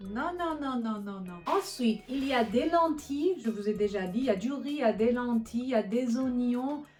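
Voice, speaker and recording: At a fairly slow pace, a woman with a non-native accent speaks at a high pitch over noticeable background noise. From Iran. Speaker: cooking vlogger. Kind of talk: cooking tutorial. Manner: halting, many fillers and restarts; animated.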